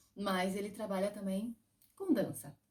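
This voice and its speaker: A somewhat breathy woman's voice at medium pitch, dark and mellow in tone. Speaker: interviewer, dance channel host. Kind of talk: casual interview questions.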